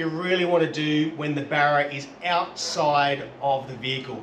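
A man amid light background noise and audible room echo. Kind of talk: tutorial. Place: garage.

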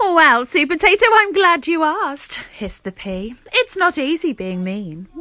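Cackling in a put-on character voice, a woman raises and projects her high-pitched voice at a moderate pace. Her pitch swings very widely and her loudness shifts in big jumps. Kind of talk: comic cartoon villain. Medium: read story. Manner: sneering, cackling, theatrical.

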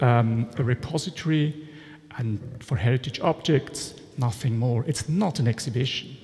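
A man talks at a moderate pace and a fairly high pitch, with a quiet background. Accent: Swiss German. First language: German. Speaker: art historian and storage consultant. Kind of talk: conference presentation. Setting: conference stage with audience. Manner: halting, with frequent fillers. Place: hall.

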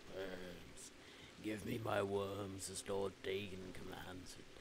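A man puts on a character voice with a fairly low pitch at a fairly slow pace. Loud background noise fills the recording. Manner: commanding, ominous.

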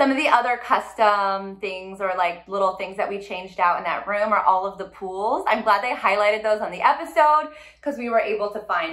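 A woman with an American accent at a moderate pace, hardly any pauses, against a quiet background. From California. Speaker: interior designer and vlogger. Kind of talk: casual vlog recap. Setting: home kitchen. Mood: upbeat, animated. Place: kitchen.

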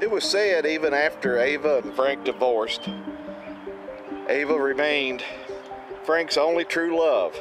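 Over clear music in the background, a man talks at a fairly slow pace with ordinary pitch variation. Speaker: travel vlogger. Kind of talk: commentary. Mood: calm, respectful. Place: open country.

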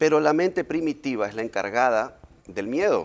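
A man's voice with lively intonation. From Ecuador, Manta (coastal); Ecuador. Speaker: hypnosis therapist; guest. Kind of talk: interview. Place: studio. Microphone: lapel.

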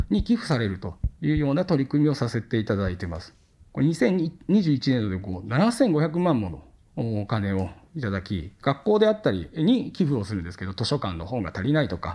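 A man's dark, mellow voice with very wide pitch swings at a fairly quick pace. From Japan, Okayama (Tsuyama); Okayama, Japan. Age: 30s. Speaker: company executive; speaker. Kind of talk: lecture. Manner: formal. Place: studio. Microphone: headset.

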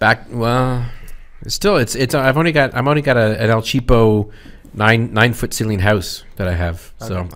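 The speech moves at a very slow pace with long, frequent pauses and ordinary pitch variation. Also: man, medium pitch for a man. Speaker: podcast co-host. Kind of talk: casual podcast chat. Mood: relaxed, joking. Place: studio. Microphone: studio mic.

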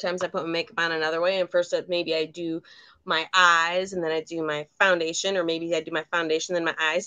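A woman speaks at a very fast pace in a fairly low voice. The background is quiet. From Michigan. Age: 50s. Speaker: beauty consultant, makeup tutorial co-host. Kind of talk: makeup tutorial livestream, casual. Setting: video livestream, remote. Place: home room.

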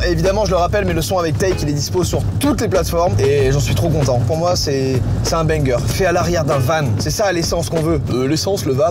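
With music in the background, the speaker goes at a fairly quick pace. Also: man. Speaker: music producer vlogger. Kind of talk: casual vlog chat. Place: car. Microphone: lapel.

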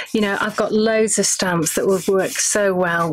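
A woman's fairly even intonation comes through over light background noise. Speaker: craft demonstrator on live stream. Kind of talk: tutorial. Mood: cheerful, relaxed. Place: studio.

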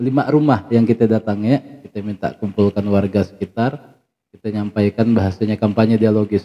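Here a man is speaking. His pace is fairly quick. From West Kalimantan, Sambas area; West Kalimantan. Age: 30s. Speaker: village head; guest. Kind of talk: interview. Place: studio.

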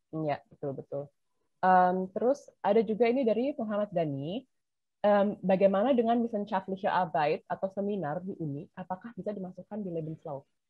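A somewhat breathy woman's voice with lively intonation, dry sound with no echo, and a quiet background. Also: fairly quick pace. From Indonesia. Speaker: webinar moderator. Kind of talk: moderating Q&A. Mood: relaxed, friendly, casual Indonesian. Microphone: video call.

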